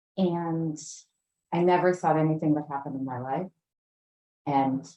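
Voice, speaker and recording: A woman speaks at a very slow pace. Her voice is very deep and low, with a dark, mellow tone. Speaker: speaker at a recovery meeting. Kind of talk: personal testimony.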